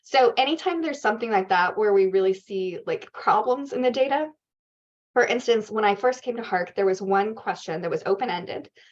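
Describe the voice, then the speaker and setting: A woman speaks at a fairly high pitch and a fairly quick pace. Her intonation is lively. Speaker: research organization CEO presenting a dataset. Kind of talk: workshop Q&A answer. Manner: fast.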